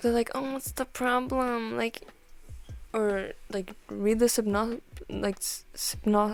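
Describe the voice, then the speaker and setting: Over music in the background, a woman talks very slowly with ordinary pitch variation. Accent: non-native. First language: not English. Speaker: art and chat video creator. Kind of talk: casual chat. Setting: at home while drawing. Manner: quieter than usual, not alone at home; casual, filler-heavy.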